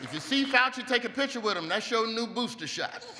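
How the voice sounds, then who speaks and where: A man speaks in a raised, projected voice. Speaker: comedian at dinner. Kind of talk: stand-up comedy routine. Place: hall. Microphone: podium.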